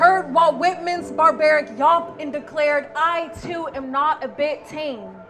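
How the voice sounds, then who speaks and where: Over music in the background, a woman with an American accent talks at a fairly slow pace in a high pitch with ordinary pitch variation. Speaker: spoken word poet. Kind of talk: spoken word poetry performance.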